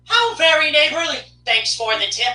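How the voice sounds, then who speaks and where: A put-on character voice sounds high and squeaky. It moves at a moderate pace with very wide pitch swings. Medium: read story. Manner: cheerful, rhyming.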